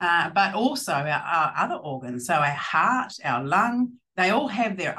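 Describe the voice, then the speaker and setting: Her pitch is fairly low, and it swings very widely. The woman talks at a moderate pace. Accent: New Zealand. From New Zealand. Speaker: plant scientist and field hockey player. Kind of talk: casual interview chat. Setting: video call.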